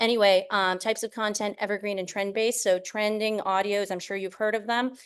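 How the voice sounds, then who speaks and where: A woman's medium-pitched voice at a very fast pace, flat and monotone, over a quiet background. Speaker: presenter on short-form video marketing. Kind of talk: online presentation.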